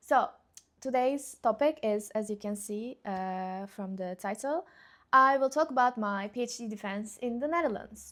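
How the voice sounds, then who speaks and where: Recorded very cleanly against a silent background, a woman speaks with a Turkish accent in a fairly high voice with ordinary pitch variation. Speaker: YouTuber, PhD graduate. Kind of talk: casual vlog chat. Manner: slow; halting, many fillers.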